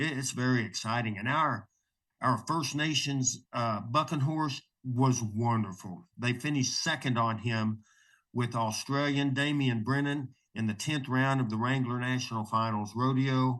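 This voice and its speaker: A man speaks in a normal speaking voice at medium pitch. His pace is fairly slow, his intonation fairly even, and the background quiet. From Oklahoma. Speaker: rodeo announcer. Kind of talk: interview answer.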